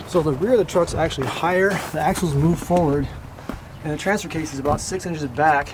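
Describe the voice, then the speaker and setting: A man keeps up a fairly quick pace while noticeable background noise plays beneath him. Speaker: truck mechanic. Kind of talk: casual talk to camera. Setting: outdoors.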